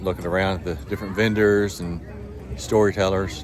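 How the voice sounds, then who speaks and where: Amid noticeable background noise and audible room echo, a man speaks at a fairly quick pace with a fairly low pitch and fairly even intonation. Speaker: outdoor vlogger. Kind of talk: vlog narration.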